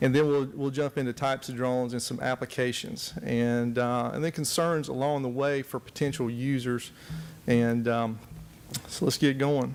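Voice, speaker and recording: With a Southern US accent, a man talks at a moderate pace in a medium pitch, his intonation fairly even. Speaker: forestry technology specialist. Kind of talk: conference presentation. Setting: conference room with audience. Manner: soft-spoken; hesitant, many fillers.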